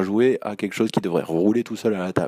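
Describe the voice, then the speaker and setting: Fairly low in pitch with fairly even intonation, a man's dark, mellow tone comes through a dry, close sound with no echo on a very clean recording with a silent background. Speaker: role-playing game enthusiast. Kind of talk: recorded monologue.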